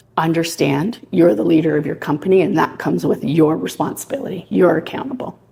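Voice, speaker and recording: A woman talks at a moderate pace in a fairly low voice with vocal fry. Her tone is dark and mellow. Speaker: property manager. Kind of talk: presentation. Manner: loud.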